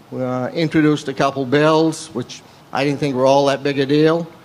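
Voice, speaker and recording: Speaking with a Maine accent, a man with a fairly high pitch keeps a monotone, flat intonation at a moderate pace. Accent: rural Maine. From rural Maine. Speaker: state legislator. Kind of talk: panel talk. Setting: stage with audience.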